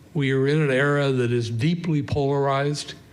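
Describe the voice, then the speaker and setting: A man with a fairly high pitch and fairly even intonation speaks at a fairly slow pace. Audible room echo surrounds his voice. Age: 80s+. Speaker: professor. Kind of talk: public lecture with Q&A. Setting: stage with audience. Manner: halting, many fillers.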